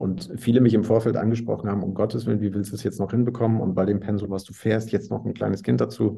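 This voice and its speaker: A man talks at a very fast pace with hardly any pauses, his fairly low voice dark and mellow with vocal fry. His intonation stays fairly even. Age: 40s. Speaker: entrepreneur in sales. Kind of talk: interview.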